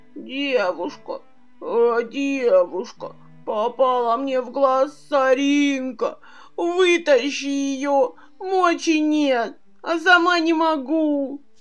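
Very slow, lively-toned speech over clear background music. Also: woman, high pitch for a woman. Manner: pleading, complaining.

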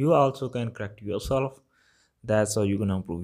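On a very clean recording with a silent background, a man with a Punjabi accent speaks with ordinary pitch variation. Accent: Punjabi-accented English, Malwa. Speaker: Punjabi language teacher podcaster. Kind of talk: lesson-style monologue. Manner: informal, hesitant with fillers.

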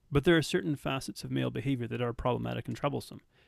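With a Canadian accent, a man speaks in a dry, close sound with no echo. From Canada. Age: 30s. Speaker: nutrition coach. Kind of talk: podcast interview.

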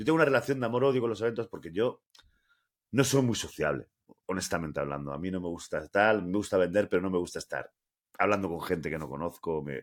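A man's very deep, low voice at a very fast pace, with very wide pitch swings. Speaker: podcast co-host. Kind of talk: casual chat.

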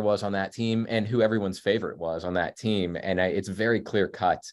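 A man with a Midwestern US accent speaks at a fairly low pitch with ordinary pitch variation. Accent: US Midwest. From Kansas City suburbs, Kansas. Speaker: features writer and author. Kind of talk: casual interview chat. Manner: halting, many fillers.

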